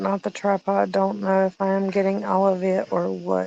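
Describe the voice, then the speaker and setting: Delivered at a moderate pace with a strong Southern US accent, the speech has a dry, close sound with no echo over a quiet background. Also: woman. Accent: thick Southern. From Alabama, US South. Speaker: live streamer. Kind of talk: casual live stream chat. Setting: live stream, phone. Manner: animated.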